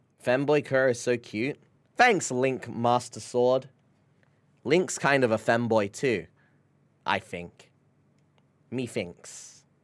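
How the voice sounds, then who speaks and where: Very slowly and with long, frequent pauses, a man speaks at a medium pitch with ordinary pitch variation. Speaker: streamer. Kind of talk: casual chat. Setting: live stream. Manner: animated.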